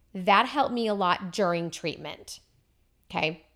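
On a very clean recording with a silent background, a woman talks in a bright, sharp tone at medium pitch with ordinary pitch variation. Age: 40s. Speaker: cancer survivor. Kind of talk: casual chat.

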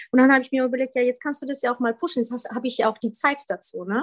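A woman's high-pitched voice with a Polish accent and ordinary pitch variation. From Poland (Wrocław), in Germany from age 11. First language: Polish (speaking German). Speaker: former Olympic fencer. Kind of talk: podcast interview. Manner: hesitant, many fillers.

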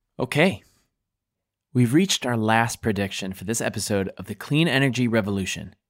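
A man's fairly low voice with ordinary pitch variation, at a moderate pace. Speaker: podcast host. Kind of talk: scripted podcast hosting.

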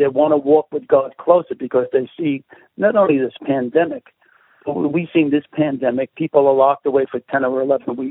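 A man with a slight Brooklyn accent talks at a moderate pace in a fairly high pitch. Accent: Brooklyn New York, slight to moderate. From Brooklyn, New York. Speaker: pastor and street evangelist. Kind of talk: radio interview, prayer.

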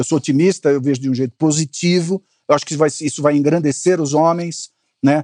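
A man's fairly high, dark and mellow voice at a fairly quick pace, with fairly even intonation and a dry, close sound with no echo. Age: 60s. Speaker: communications consultant and investor. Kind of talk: interview conversation.

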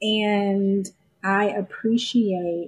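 Somewhat breathy, a woman speaks at a medium pitch that varies in an ordinary way. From US South, Augusta, Georgia. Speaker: independent filmmaker. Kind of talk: casual chat. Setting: studio.

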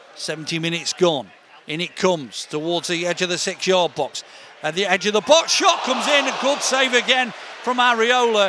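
A man with a high pitch speaks in a raised, projected voice with lively intonation. Noticeable background noise is present. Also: moderate pace. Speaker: hospital radio presenter and football commentator. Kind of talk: scripted show intro then live football commentary. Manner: brisk, running description of the play, building to admiring exclamations; hesitant with fillers mid-commentary.

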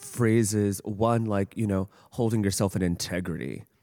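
The sound is dry and close, with no echo. The speech moves at a moderate pace. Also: man. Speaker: podcast host. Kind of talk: interview conversation. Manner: enthusiastic.

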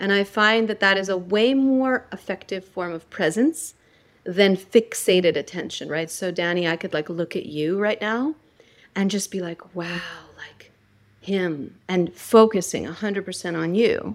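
In an unremarkable speaking voice, a woman with an American accent speaks at a fairly slow pace and medium pitch with ordinary pitch variation. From United States. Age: 40s. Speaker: spiritual teacher and author. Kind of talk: interview; guided meditation.

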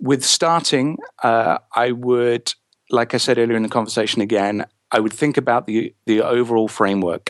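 With an English accent, a man speaks at a medium pitch and moderate pace, with ordinary pitch variation. His loudness stays very even, and the sound is dry and close with no echo. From England. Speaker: author and therapist. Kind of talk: interview. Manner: halting, with frequent repetitions.

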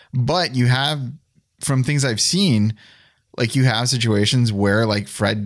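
A man with a normal speaking voice and a medium pitch speaks at a fairly slow pace on a very clean recording with a silent background. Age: 40s. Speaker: podcast executive producer. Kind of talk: casual conversation.

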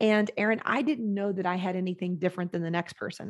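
Against a quiet background, a woman with a normal speaking voice talks at medium pitch with fairly even intonation. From Texas, San Antonio. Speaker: operations consultant and program founder. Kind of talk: interview.

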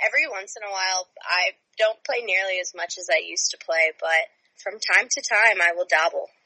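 Speaking at a fairly quick pace in an unremarkable speaking voice, a woman of medium pitch shows ordinary pitch variation and big swings in loudness, the sound dry and close with no echo. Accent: American. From California, San Francisco Bay Area. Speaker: former hockey player and student. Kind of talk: casual chat.

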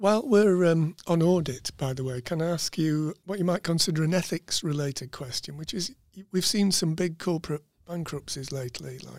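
A plain, everyday voice at a moderate pace, with ordinary pitch variation and a dry, close sound with no echo. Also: man. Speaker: podcast host. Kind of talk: interview. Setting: studio.

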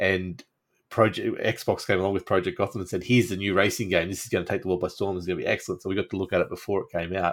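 Speaking very fast with an Australian accent, a man keeps a fairly low, monotone voice with flat intonation. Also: very clean recording, silent background. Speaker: podcast host. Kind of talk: casual chat.

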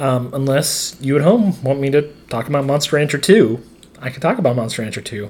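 Somewhat breathy, the speaker uses an American accent, a fairly quick pace and ordinary pitch variation. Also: man, fairly high pitch for a man. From northeastern Montana. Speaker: podcast co-host and teacher. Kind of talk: casual chat.

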